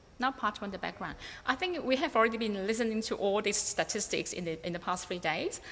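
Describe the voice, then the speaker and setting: The speaker talks at a very fast pace with lively intonation, in a Cantonese accent. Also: woman, fairly high pitch for a woman. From Hong Kong. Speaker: researcher. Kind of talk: conference presentation. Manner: halting, many fillers.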